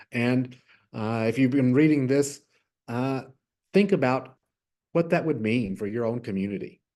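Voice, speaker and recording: A man with a Texas accent, dark and mellow in tone, at a moderate pace with long, frequent pauses. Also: medium pitch for a man, ordinary pitch variation. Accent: Southern US (Texas). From West Texas. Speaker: innovation lab manager. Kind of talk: virtual workshop presentation. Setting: virtual workshop.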